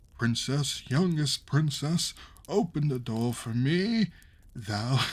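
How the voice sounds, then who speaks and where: In a put-on character voice with a fairly high pitch, a man talks at a very slow pace. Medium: read story. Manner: pleading, insistent.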